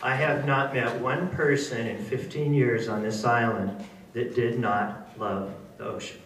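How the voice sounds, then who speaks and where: Noticeable background noise and audible room echo surround the recording. A man speaks with ordinary pitch variation. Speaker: marine science educator. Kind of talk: public lecture. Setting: stage with audience, on a microphone. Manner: loud; animated.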